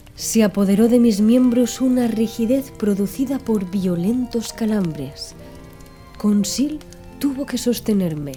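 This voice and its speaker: This woman has a fairly high pitch and lively intonation, speaking at a fairly slow pace. Music plays in the background. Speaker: audiobook narrator. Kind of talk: ASMR audiobook reading. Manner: soft-spoken, calm.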